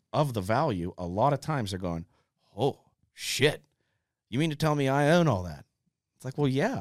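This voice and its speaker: In a western Pennsylvania accent, a man at medium pitch speaks at a moderate pace with very wide pitch swings and long, frequent pauses, on a very clean recording with a silent background and a dry, close sound with no echo. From western Pennsylvania, Indiana PA. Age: 30s. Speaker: forester. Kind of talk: casual chat. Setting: studio.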